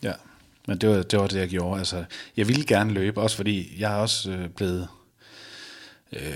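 The man's delivery keeps a moderate pace. His intonation holds fairly even. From Denmark, Viborg (Jutland). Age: 30s. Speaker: balcony fitter sharing weight-loss story. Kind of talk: interview testimony. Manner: halting, many fillers.

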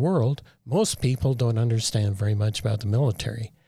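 Here a man speaks at a medium pitch, somewhat breathy. The recording is very clean, with a silent background. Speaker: military veteran. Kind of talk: interview.

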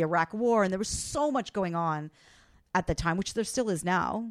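A woman with a medium pitch and lively intonation talks at a fairly quick pace in a plain, everyday voice. The recording is very clean, with a silent background and a dry, close sound with no echo. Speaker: personal finance expert and broadcast journalist. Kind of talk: casual interview storytelling. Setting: studio.

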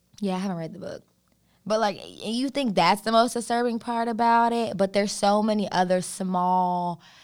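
Here a woman has an unremarkable speaking voice, with ordinary pitch variation and a moderate pace. The recording is very clean, with a silent background. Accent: American. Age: 20s. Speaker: podcast co-host. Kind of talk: casual chat.

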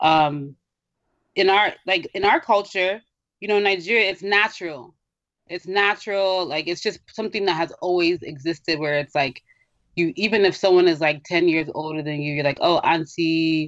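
This woman has an unremarkable speaking voice at a fairly low pitch. Her pace is moderate and her pitch varies in an ordinary way. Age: 20s. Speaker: podcast co-host. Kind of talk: casual chat.

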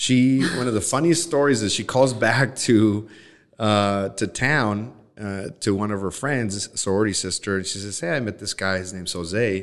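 The pitch shifts in an ordinary way. It is a normal speaking voice. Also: man, fairly low pitch for a man, moderate pace. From Nogales, Arizona (born Sinaloa, Mexico). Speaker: personal injury attorney. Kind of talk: interview.

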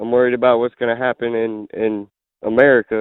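Speaking with a Southern US accent, a man talks at a moderate pace and medium pitch with monotone, flat intonation. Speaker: caller. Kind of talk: call-in conversation. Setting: phone call. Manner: casual.

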